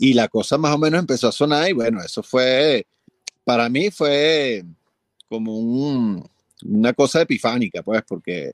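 In an ordinary speaking voice at medium pitch, a man talks at a moderate pace, recorded dry and close with no echo. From Venezuela. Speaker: film and commercial composer. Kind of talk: interview.

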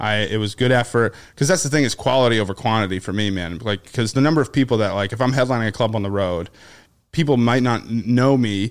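A man with an American accent at a very fast pace, ordinary pitch variation, on a very clean recording with a silent background. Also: medium pitch for a man. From Boston area, US. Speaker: stand-up comedian. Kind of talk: casual chat.

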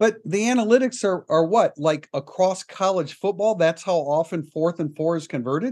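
Lively intonation and hardly any pauses mark this man's high-pitched speech. The sound is dry and close with no echo, over a quiet background. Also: moderate pace. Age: 60s. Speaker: sports podcast host. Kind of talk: casual chat.

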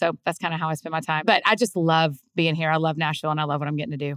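A very fast woman's voice in a Southern US accent, fairly low in pitch, dry and close with no echo, on a very clean recording with a silent background. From US South. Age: 30s. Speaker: author and podcaster. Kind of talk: casual interview conversation.

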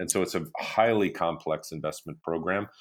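On a very clean recording with a silent background, a man with a very deep, low pitch talks at a fairly quick pace with fairly even intonation. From Canada. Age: 50s. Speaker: fintech executive. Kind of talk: interview. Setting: office.

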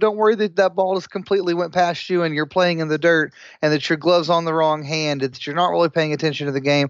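An ordinary speaking voice from a man, fairly high in pitch with ordinary pitch variation and a fairly quick pace, against a quiet background with dry, close sound and no echo. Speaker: former podcast co-host. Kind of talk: casual chat. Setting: phone call.

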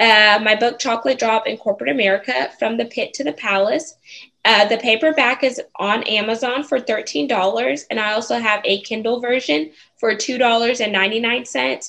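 A fairly high-pitched woman's voice with vocal fry and lively intonation, at a fairly slow pace. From Houston, Texas. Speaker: author and speaker. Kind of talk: interview.

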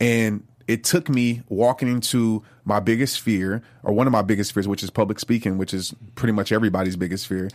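In an American accent, a man with a normal speaking voice, fairly low pitch and ordinary pitch variation talks at a fairly quick pace in a very clean recording with a silent background. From US South, New Orleans. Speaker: motivational speaker and author. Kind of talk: interview.

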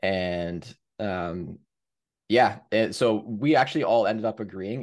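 This man has an unremarkable speaking voice, fairly low in pitch, with a Canadian accent. The background is quiet. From Canada, Hamilton, Ontario. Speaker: former pro hockey goalie and goalie coach. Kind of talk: casual interview with video breakdown.

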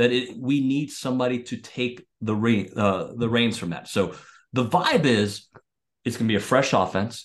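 Against a quiet background, a man with an unremarkable speaking voice talks at a moderate pace in a medium pitch. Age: 40s. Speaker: sports radio host. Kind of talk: casual chat.

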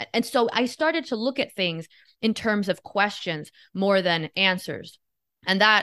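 A woman in an American accent, with a bright, sharp tone, lively intonation, a fairly slow pace and a quiet background. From Miami, Florida (Cuban family). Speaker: podcast guest, commentator. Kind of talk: casual chat.

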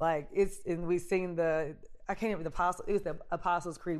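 A woman with a normal speaking voice talks at a fairly low pitch with fairly even intonation against a quiet background. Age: 40s. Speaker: faith podcast host. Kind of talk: personal testimony. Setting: at home on a couch.

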